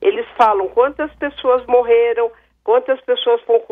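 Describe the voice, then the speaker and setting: A woman has an ordinary speaking voice at a fairly high pitch, with ordinary pitch variation. Her pace is fairly slow. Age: 60s. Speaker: caller. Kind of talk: radio call-in comment.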